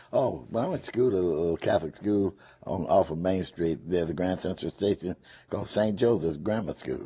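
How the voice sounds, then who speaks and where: Speaking at a fairly quick pace with a Memphis accent, a man has a very deep, low pitch, a dark, mellow tone and ordinary pitch variation. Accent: Southern US (Memphis). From US South, Memphis, Tennessee. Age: 80s+. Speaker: retired whiskey salesman. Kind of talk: interview.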